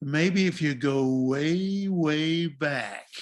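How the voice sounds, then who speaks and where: A man speaks in a put-on character voice. His pitch sits fairly high. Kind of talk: radio announcer.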